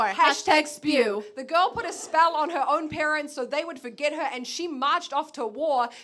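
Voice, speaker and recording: Against noticeable background noise, a woman with a high voice speaks at a moderate pace, with hardly any pauses and ordinary pitch variation. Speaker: spoken word poet. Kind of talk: spoken word poetry performance.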